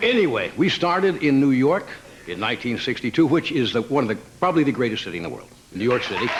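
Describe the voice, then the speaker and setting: Over noticeable background noise, a man of medium pitch talks at a very fast pace, his pitch swinging very widely. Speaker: talk show host doing a stand-up monologue. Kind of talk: live late-night monologue to a studio audience. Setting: live studio audience.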